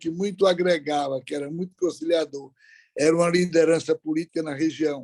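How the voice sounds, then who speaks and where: Recorded dry and close with no echo, a man speaks at a moderate pace in a fairly high, dark and mellow voice with fairly even intonation. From Brazil, Ceará (interior, Aurora). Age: 70s. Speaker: business leader. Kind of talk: interview.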